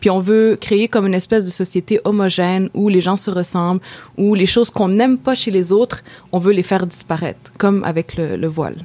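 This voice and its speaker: A woman with a Quebec accent, a dark, mellow tone, medium pitch, fairly even intonation and a fairly quick pace. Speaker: feminist activist. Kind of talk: interview.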